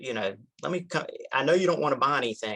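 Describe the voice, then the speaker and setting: Talking fairly quickly, a man speaks in a Southern US accent. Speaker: insurance broker. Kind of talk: interview conversation.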